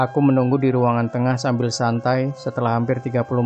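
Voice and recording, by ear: A natural voice, reading aloud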